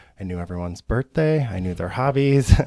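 With an American accent, the voice carries a dark, mellow tone and ordinary pitch variation, its sound dry and close with no echo on a very clean recording with a silent background. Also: man. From Michigan, east side near Detroit. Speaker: optical store owner. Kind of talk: casual interview. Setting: studio.

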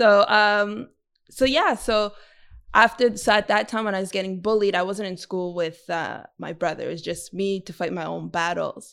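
In a Montreal accent, a woman speaks at a moderate pace and medium pitch, with big swings in loudness. The recording is very clean, with a silent background. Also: ordinary pitch variation. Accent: Canadian English (Montreal). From Montreal West Island, Quebec. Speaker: community organizer and podcaster. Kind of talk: interview.

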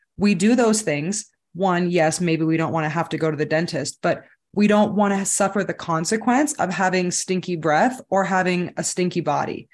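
A woman with an American accent talks at a moderate pace in a normal speaking voice, with ordinary pitch variation. Her loudness is very even, and the background is quiet. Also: medium pitch for a woman. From Southern California. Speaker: fitness and macros coach. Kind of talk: casual interview chat.

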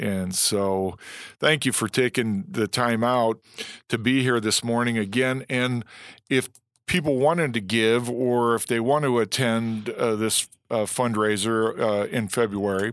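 A man with an ordinary speaking voice talks in an American accent at a fairly slow pace. His pitch is medium with ordinary variation, and the recording is very clean with a silent background. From Illinois. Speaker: former NFL player, guest interviewer. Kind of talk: interview.

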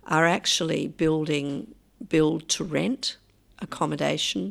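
The speaker has an Australian accent. The pace is very slow. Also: woman. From Australia, Adelaide. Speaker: urbanist and author. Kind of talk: interview. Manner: halting, frequent um.

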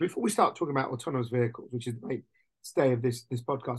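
The man's voice comes across as somewhat breathy. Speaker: podcast host. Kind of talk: casual podcast conversation.

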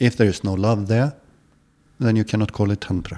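A man's fairly low, dark, mellow voice with an Icelandic accent and fairly even intonation, on a very clean recording with a silent background. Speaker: yoga and tantra teacher. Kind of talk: interview.

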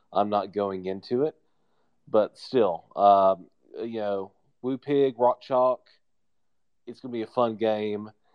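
Speaking at a very slow pace with long, frequent pauses, a man keeps a fairly low pitch and fairly even intonation while his loudness swings widely. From northeastern Arkansas. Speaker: caller. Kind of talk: casual chat.

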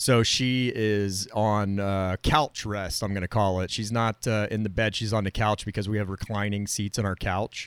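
A man with a fairly low pitch uses a normal speaking voice at a moderate pace, with fairly even intonation. He leaves hardly any pauses, and the sound is dry and close with no echo. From Florida. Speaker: broadcast technician and podcast co-host. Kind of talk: casual chat. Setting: video call.

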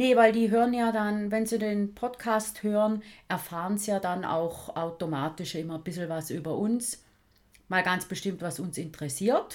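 At a moderate pace, a woman speaks with ordinary pitch variation. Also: medium pitch for a woman. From St. Gallen, Switzerland. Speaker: podcast host. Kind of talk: casual chat.

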